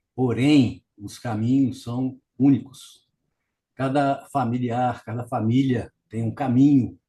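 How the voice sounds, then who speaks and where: Speaking at a very slow pace, a man with a medium pitch and a dark, mellow, somewhat breathy tone keeps a monotone, flat intonation while his loudness swings widely. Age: 70s. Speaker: family caregiver, retired civil engineer. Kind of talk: interview. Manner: halting.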